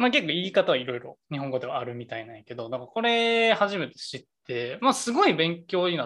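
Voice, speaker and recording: With a Kansai accent, a man speaks at a moderate pace and a fairly high pitch, his pitch swinging very widely. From Kansai, Japan. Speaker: podcast co-host. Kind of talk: casual chat. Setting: video call.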